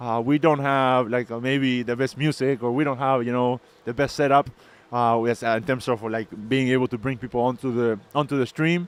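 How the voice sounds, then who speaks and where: A man with a non-native accent talks at a fairly quick pace in a medium pitch. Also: fairly even intonation. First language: not English. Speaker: crypto mining business owner and streamer. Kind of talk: live stream. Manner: casual, halting with fillers.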